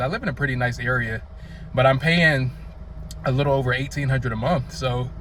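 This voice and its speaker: A man speaks at a fairly quick pace with a North Carolina accent. Noticeable background noise can be heard. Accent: Southern (North Carolina). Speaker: vlogger. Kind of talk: casual vlog monologue. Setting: outdoors, sunny day.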